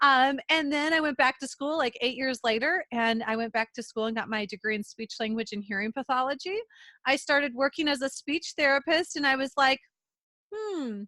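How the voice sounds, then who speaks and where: With a Minnesotan accent, a woman uses a raised, projected voice, high in pitch and bright and sharp in tone, with lively intonation and a dry, close sound with no echo over a quiet background. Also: moderate pace. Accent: Minnesota. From central Minnesota. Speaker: podcast co-host, entrepreneur. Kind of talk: casual interview chat.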